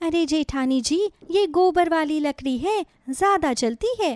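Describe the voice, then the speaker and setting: Putting on a squeaky character voice at an extremely high pitch, a woman speaks at a fairly slow pace with lively intonation and very even loudness, on a very clean recording with a silent background and a dry, close sound with no echo. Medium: cartoon. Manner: folksy, witty, good-humoured.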